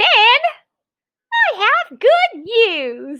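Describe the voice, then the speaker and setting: Squeaky put-on character voice from a woman, pitched extremely high. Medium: read story.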